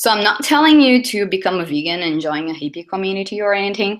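A woman with a Portuguese accent speaks with lively intonation against a quiet background. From southern Brazil. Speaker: UX designer, conference speaker. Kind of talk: conference talk. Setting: stage with audience. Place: hall.

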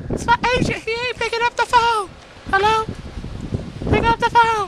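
A man puts on a squeaky character voice pitched extremely high, speaking at a moderate pace in a flat monotone over light background noise. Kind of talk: comic parody monologue. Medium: comedy sketch. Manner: boastful, pleading, goofy.

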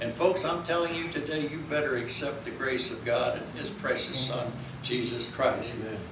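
Over noticeable background noise and audible room echo, a man with fairly high pitch talks at a fairly quick pace. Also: ordinary pitch variation. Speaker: pastor. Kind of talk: sermon. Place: church. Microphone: camera far.

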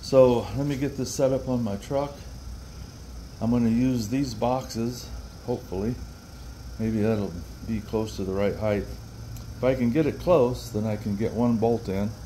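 Light background noise runs under this man's voice. He keeps a moderate pace with ordinary pitch variation and long, frequent pauses. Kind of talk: tutorial. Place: garage. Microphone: phone near.

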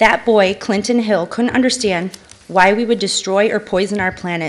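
A woman with an American accent and an unremarkable speaking voice, medium in pitch with ordinary pitch variation, at a fairly quick pace. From Connecticut. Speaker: environmental activist. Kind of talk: prepared public statement. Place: hall. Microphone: podium.

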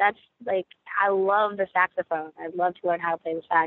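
A woman with an American accent speaks at a medium pitch and a moderate pace. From US, Rockville, Maryland. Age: 20s. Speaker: singer-songwriter. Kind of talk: casual interview.

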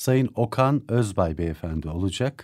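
Against quiet surroundings, a man's speech moves fairly slowly. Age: 50s. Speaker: radio host. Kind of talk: radio interview. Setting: radio studio. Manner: formal, polite. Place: studio.

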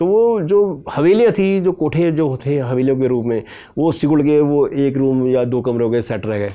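Lively intonation runs through a dark, mellow tone. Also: man, moderate pace. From Meerut, western Uttar Pradesh; Uttar Pradesh. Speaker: historian and author; guest. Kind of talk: interview, storytelling about history; interview answer. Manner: halting, with many pauses and fillers. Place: studio. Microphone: lapel.

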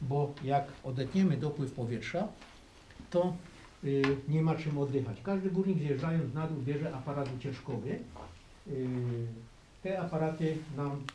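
Amid light background noise and audible room echo, a man talks at a fairly slow pace with long, frequent pauses and ordinary pitch variation. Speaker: mine tour guide. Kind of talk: guided tour explanation. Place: tunnel cave.

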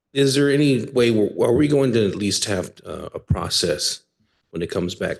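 A man speaks quietly. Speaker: mayor. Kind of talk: council meeting discussion. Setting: city council chamber.

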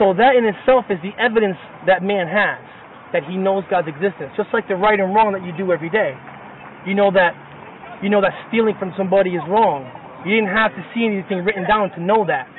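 Very fast and high-pitched, a man speaks with ordinary pitch variation, the sound dry with no echo and light background noise behind him. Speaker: street preacher. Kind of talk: street sermon to a listener. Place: street. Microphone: phone near.

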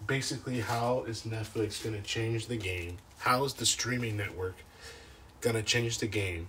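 With noticeable background noise and audible room echo, a man with an American accent speaks at a moderate pace and medium pitch, his intonation fairly even. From San Francisco Bay Area, Daly City. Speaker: podcast host. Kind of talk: casual solo commentary. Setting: outdoors in backyard tent.

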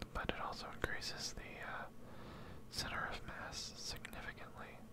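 Whispering at a moderate pace, a man speaks. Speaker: gameplay streamer. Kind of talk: casual talk to camera, gameplay commentary with ASMR whisper. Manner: whispering, close to the microphone. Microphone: studio mic.

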